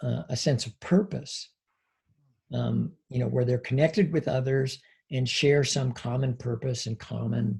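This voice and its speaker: A man with an American accent speaks at medium pitch, sounding somewhat breathy. His pace is fairly slow, with ordinary pitch variation. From US Northwest (Washington State). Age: 60s. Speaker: psychology professor. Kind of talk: interview conversation. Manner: hesitant, many fillers.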